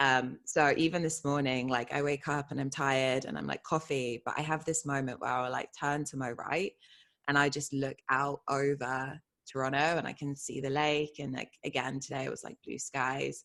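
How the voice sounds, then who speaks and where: A woman with a very deep, low pitch, a British accent and monotone, flat intonation. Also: moderate pace. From England, Bristol area. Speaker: identity coach. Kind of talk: interview.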